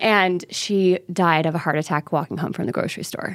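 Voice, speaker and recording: A woman with an ordinary speaking voice and fairly low pitch talks at a moderate pace with fairly even intonation, in a very clean recording with a silent background. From US South, Mobile, Alabama. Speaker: actor and filmmaker. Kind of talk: storytelling interview.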